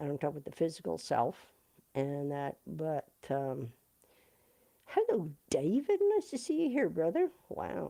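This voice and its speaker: At a fairly slow pace, a woman speaks with long, frequent pauses. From Canada. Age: 60s. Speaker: musician. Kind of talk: livestream chat. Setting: live video stream. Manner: halting.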